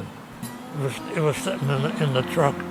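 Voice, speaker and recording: A man's medium-pitched voice with music in the background. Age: 80s+. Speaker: war veteran. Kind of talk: interview answer. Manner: hesitant, repetitive.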